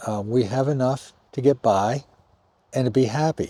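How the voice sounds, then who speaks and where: At a fairly slow pace, a man speaks in a dark, mellow tone at medium pitch. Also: very clean recording, silent background. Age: 60s. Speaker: retired healthcare worker, vlogger. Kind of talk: casual vlog monologue. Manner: halting, with repetitions.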